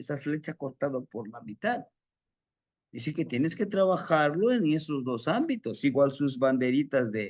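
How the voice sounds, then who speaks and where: In a central Mexican accent, the speaker talks at a fairly slow pace with very wide pitch swings against a quiet background. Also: man. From Mexico City. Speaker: spiritual teacher. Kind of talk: lecture.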